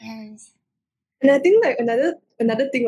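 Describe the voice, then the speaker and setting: Fairly quick delivery from a woman's somewhat breathy voice. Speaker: student radio host. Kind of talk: casual chat.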